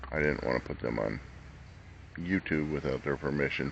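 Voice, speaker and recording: With vocal fry and fairly even intonation, a man speaks at a fairly quick pace. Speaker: vlogger. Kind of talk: casual vlog talk. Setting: campground, camper bus. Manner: talking low so others can sleep.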